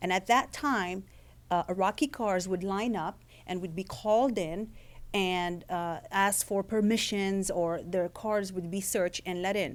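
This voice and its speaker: Speaking at a fairly slow pace with a slight non-native accent, this voice shows ordinary pitch variation on a very clean recording with a silent background. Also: woman, medium pitch for a woman. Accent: slight foreign. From Lebanon. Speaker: author and former intelligence agent. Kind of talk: author talk. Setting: event with live audience.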